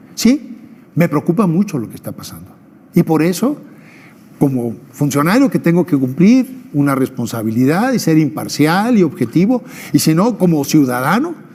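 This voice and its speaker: A man's fairly high voice leaps through very wide pitch swings as he talks. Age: 60s. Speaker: former election official. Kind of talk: TV interview.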